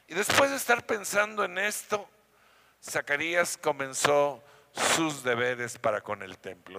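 Bright and sharp in tone, a man talks at a fairly high pitch and a fairly slow pace with lively intonation. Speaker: pastor. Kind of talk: sermon. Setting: church.

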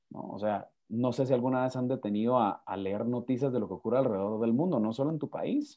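Talking at a very fast pace with hardly any pauses, a man uses a medium pitch and ordinary pitch variation. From Guatemala. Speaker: lawyer and speaker. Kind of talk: interview conversation. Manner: halting, repeats words.

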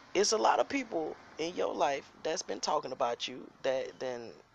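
The speaker uses an animated tone at a moderate pace over noticeable background noise. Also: man. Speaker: podcast host, youth football coach. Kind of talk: casual commentary monologue.

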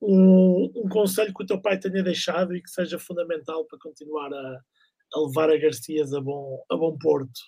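With hardly any pauses, a man talks at a moderate pace in a high pitch, his tone dark and mellow and his loudness swinging widely. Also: ordinary pitch variation. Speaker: podcast host. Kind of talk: interview. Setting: live stream.

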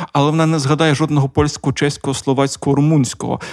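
Recorded with a dry, close sound and no echo, a man speaks with a Russian accent. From Donetsk region, eastern Ukraine. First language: Russian (speaking Ukrainian). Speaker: radio co-founder, podcast co-host. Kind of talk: casual chat. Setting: studio.

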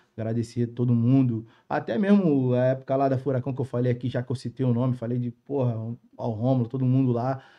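At a fairly quick pace, a man talks in an ordinary speaking voice at medium pitch with fairly even intonation. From Rio de Janeiro, Rocinha favela. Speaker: funk MC and TikTok creator. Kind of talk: casual chat.

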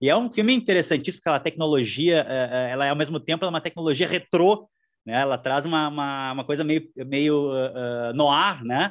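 A man speaks at a moderate pace in a fairly high voice, with ordinary pitch variation. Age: 40s. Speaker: historian and university professor. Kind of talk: interview. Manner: halting, repeats words.

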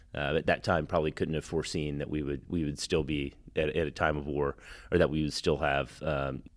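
In a very clean recording with a silent background, a man with an American accent speaks at a fairly quick pace in a very deep, low voice, flat and monotone, with vocal fry. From Texas. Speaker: Marine veteran and software executive. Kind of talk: interview. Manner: halting, many fillers and repeated words.

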